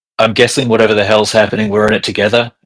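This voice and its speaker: A raspy, put-on character voice goes at a very fast pace with monotone, flat intonation. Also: man, medium pitch for a man. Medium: actual play.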